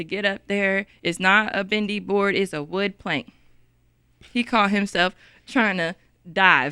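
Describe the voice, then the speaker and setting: With a Texas accent and a bright, sharp tone, a woman at medium pitch speaks at a fairly slow pace with long, frequent pauses, on a very clean recording with a silent background. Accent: city accent, Texas. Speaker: podcast co-host. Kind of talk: casual chat. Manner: animated.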